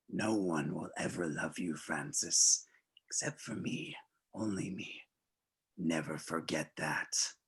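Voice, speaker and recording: Soft-spoken and in a put-on character voice, a man talks with a very deep, low pitch at a fairly slow pace, leaving long, frequent pauses. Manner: cunning, soft.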